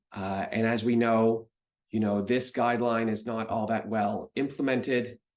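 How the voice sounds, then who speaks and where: A man's medium-pitched voice in a Canadian accent, at a fairly slow pace with ordinary pitch variation. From Canada. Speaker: medical researcher and professor. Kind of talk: recorded conference talk. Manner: hesitant, many fillers.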